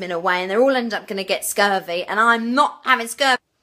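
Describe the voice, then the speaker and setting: Speaking at a fairly quick pace, a woman uses a fairly high pitch with ordinary variation. She has a slight Essex accent. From England, Essex. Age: 20s. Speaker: TV show applicant. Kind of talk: application video monologue. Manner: energetic, full on.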